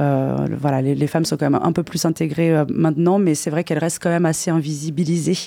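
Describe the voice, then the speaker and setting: Very fast and with very even loudness, a woman speaks in a very deep, low voice with fairly even intonation over noticeable background noise. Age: 30s. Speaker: DJ. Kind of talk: casual radio interview. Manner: halting, repeats words.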